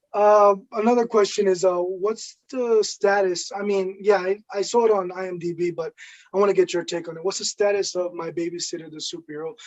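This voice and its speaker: With a New York accent, a man talks at a fairly quick pace and a high pitch. His intonation stays fairly even while his loudness swings widely. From Brooklyn, New York. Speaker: show host. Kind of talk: casual interview.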